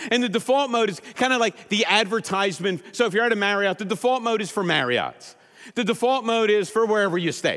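Loud and very fast, a man speaks in a high voice with a bright, sharp tone and ordinary pitch variation. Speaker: pastor. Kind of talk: sermon. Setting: church.

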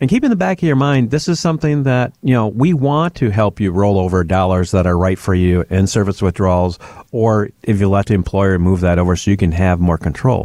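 Speaking at a fairly quick pace with hardly any pauses, a man with a fairly low pitch and a dark, mellow tone uses lively intonation at very even loudness, recorded dry and close with no echo on a very clean track with a silent background. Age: 60s. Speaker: financial advisor and podcast host. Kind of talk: casual chat.

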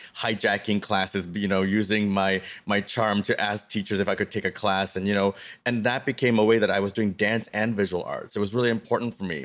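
A man with a Canadian accent speaks at a moderate pace and a fairly low pitch. His intonation is monotone and flat. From Canada, Toronto suburbs. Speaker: artist and professor. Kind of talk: interview. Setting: video call.

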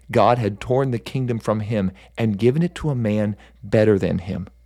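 This is a plain, everyday voice, moving at an average speed with normal rises and falls in pitch. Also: man. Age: 40s. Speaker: pastor and devotional podcaster. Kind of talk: devotional storytelling.

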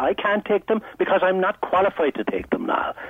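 Over noticeable background noise, a man with a high voice talks at a moderate pace. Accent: Irish. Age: 70s. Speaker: caller. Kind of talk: phone-in discussion. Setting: phone call.

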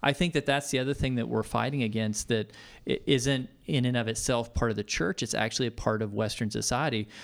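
A man with an American accent at a fairly quick pace, medium pitch with ordinary pitch variation, vocal fry, very even loudness, on a very clean recording with a silent background. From Texas, Tomball. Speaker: pastor. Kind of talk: interview.

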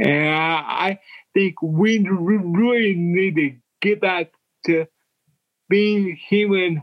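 Speaking very slowly, a man lets his pitch vary in an ordinary way. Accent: American. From Oklahoma. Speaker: pastor and author. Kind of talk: casual interview. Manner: slow talker.

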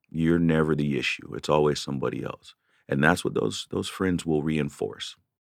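With an American accent, a man speaks at a very deep, low pitch and with fairly even intonation. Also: moderate pace. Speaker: podcast host and veteran. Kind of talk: solo rant, heartfelt and confessional, talking to listeners. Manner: conversational, earnest, with frequent fillers.

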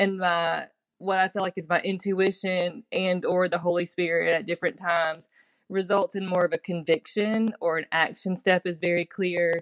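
Speaking at a moderate pace with a Southern US accent, a woman of medium pitch keeps a monotone, flat intonation, with a dry, close sound, no echo, and a quiet background. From Mississippi, US South. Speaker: listener voice message. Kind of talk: recorded voice message.

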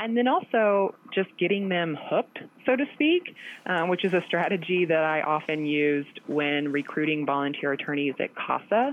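A plain, everyday voice speaks with an American accent at a moderate pace. Its intonation is lively and its loudness very even. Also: woman, fairly low pitch for a woman. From US Midwest, southeastern Missouri (boot heel). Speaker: lawyer. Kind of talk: interview.

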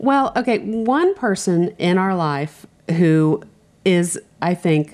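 A woman with a normal speaking voice talks at a fairly low pitch. Her pace is fairly slow and her intonation lively. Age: 50s. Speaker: home improvement podcast co-host. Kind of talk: casual chat.

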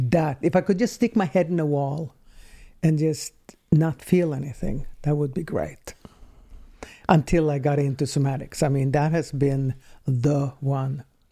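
A woman with a Swedish accent speaks fairly slowly in a very deep, low voice with a dark, mellow tone, leaving long, frequent pauses. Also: ordinary pitch variation. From Sweden. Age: 60s. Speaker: somatic healing practitioner. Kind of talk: casual chat.

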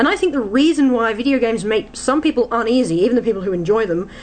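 A woman speaks with an Australian accent. Her pitch is fairly high. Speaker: fantasy author. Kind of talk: radio talk show. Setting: studio.

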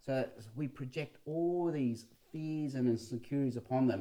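A man with an Australian accent speaks at a moderate pace, his medium-pitched voice dark and mellow in tone. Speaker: pastor and sociologist podcast co-host. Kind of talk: casual chat.

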